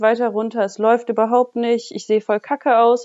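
A woman uses a plain, everyday voice at a fairly high pitch and a moderate pace. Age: 20s. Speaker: bodybuilder. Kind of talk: casual interview.

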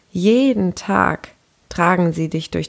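On a very clean recording with a silent background, a woman speaks at a very slow pace in a calm, gentle tone. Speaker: empowerment coach. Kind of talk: guided meditation. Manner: slow, soft-spoken, soothing; calm, gentle, unhurried with pauses.

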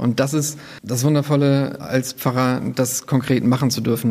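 Monotone, flat intonation in a man's voice of medium pitch. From northern Germany, near Bremen. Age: 30s. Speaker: protestant pastor. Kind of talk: interview.

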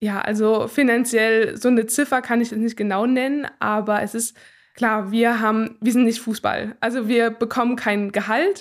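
In a plain, everyday voice, a woman talks at a moderate pace with fairly even intonation and a fairly high pitch, on a very clean recording with a silent background. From Thuringia, Gera. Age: 20s. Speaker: speed skater. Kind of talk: interview.

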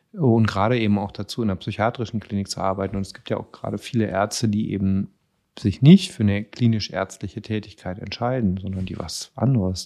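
A man speaks at a fairly quick pace in a fairly low, dark and mellow voice. His intonation stays fairly even over a quiet background. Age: 40s. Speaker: psychiatrist, chief physician. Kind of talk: casual interview chat.

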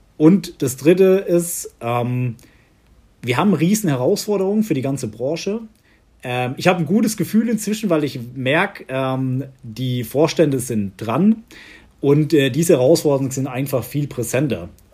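A man with a fairly high pitch and a dark, mellow tone sounds somewhat breathy, his pitch swinging very widely. He speaks at a moderate pace in a very clean recording with a silent background. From Southern Palatinate, Germany. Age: 30s. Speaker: executive assistant at an insurer. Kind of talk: interview.

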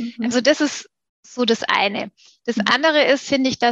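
A woman's high-pitched voice, bright and sharp in tone, with fairly even intonation and a dry, close sound with no echo. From Stuttgart, southwest Germany. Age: 40s. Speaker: PR agency managing director. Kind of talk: interview conversation.

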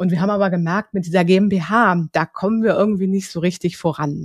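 Dry and close with no echo, a woman's ordinary speaking voice comes through at a fairly low pitch and a moderate pace. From Hamburg, northern Germany. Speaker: social business consultant, founder. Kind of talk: interview. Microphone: new podcast equipment.

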